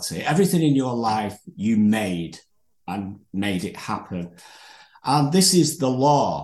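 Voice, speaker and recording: A man with a Manchester accent and very wide pitch swings. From northern England. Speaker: podcast host. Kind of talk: casual interview chat. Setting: video call.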